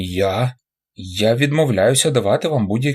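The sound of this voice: Lively intonation in an unforced reading voice, set on a quiet background.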